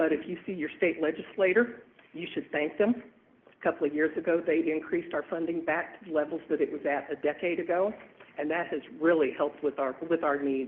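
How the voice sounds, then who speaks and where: A man's unremarkable speaking voice, fairly high-pitched and fairly quick, with ordinary pitch variation. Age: 60s. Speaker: transit agency director presenting to city council. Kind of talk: public presentation at council meeting. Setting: city council meeting.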